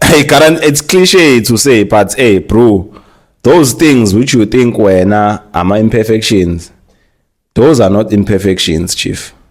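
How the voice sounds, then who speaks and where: A man with a fairly low voice speaks fairly slowly. His intonation is lively. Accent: Zulu. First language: Zulu. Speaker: marketer and influencer. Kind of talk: casual chat. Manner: code-switching English and Zulu.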